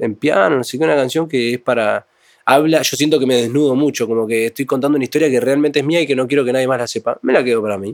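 Talking at a very fast pace with a Uruguayan accent, a man keeps a medium pitch with ordinary variation, the sound dry and close with no echo. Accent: Uruguayan Spanish (rioplatense). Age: 20s. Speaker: cumbia music producer and songwriter. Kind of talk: casual interview chat.

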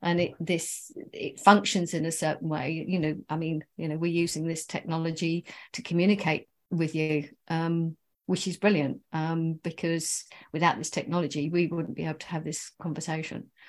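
Speaking at a moderate pace, a woman has a normal speaking voice. Her pitch is fairly low and her intonation fairly even. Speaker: author. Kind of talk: interview.

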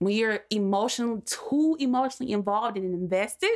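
At a moderate pace, a woman speaks in an ordinary speaking voice with lively intonation. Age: 20s. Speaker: podcast guest. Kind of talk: casual chat.

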